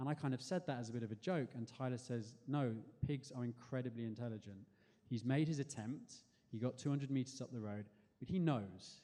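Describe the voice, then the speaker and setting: A man's medium-pitched voice with a dark, mellow tone, ordinary pitch variation and a fairly quick pace. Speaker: spoken word performer. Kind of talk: storytelling performance. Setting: stage with audience.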